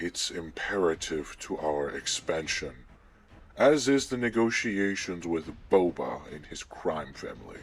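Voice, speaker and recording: A man does a put-on character voice with a very deep, low pitch at a fairly slow pace. His pitch swings very widely and his loudness swings a lot. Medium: audio drama. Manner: arrogant, menacing.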